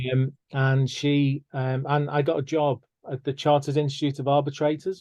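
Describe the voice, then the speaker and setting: A man speaks with a northern English accent at a moderate pace. His voice is fairly high, with a dark, mellow tone and flat, monotone intonation. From northern England. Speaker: mediator and podcast host. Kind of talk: casual interview chat.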